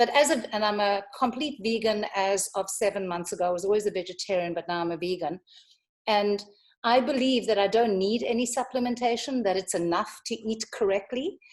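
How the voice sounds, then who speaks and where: A woman's plain, everyday voice, fairly quick in pace, with ordinary pitch variation. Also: medium pitch for a woman. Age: 60s. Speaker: audience member asking a question. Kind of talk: live Q&A on a video call.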